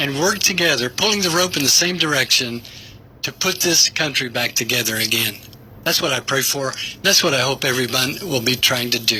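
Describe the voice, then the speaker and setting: A man with an American accent at a fairly high pitch, talking at a fairly quick pace with lively intonation over noticeable background noise. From Tennessee. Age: 70s. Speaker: pastor and war veteran. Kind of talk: radio interview. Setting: radio studio.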